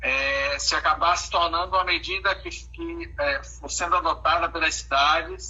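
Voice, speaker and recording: Over noticeable background noise, a man speaks at a fairly slow pace with hardly any pauses. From Bahia, Brazil. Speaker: law professor. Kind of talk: live video discussion. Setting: online live stream. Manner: halting, many fillers.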